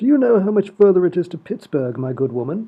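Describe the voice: Using a put-on character voice, a man talks fast in a high pitch with big pitch swings and a slightly husky edge.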